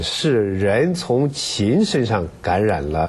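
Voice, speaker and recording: A man's voice with very wide pitch swings. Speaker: radio health program host. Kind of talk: interview. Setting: studio. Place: studio. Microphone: lapel.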